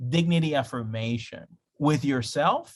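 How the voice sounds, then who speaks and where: Ordinary pitch variation in a man's somewhat breathy voice. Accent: Spanish. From Spanish-speaking country, moved to US at 13. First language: Spanish. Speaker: pastor. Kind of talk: online class lecture. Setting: video call. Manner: conversational, with frequent fillers.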